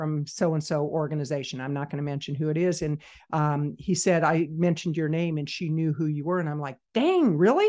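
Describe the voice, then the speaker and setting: A woman with a normal speaking voice talks at a fairly quick pace and fairly low pitch, with fairly even intonation over a quiet background. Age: 60s. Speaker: business consultant. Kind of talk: interview.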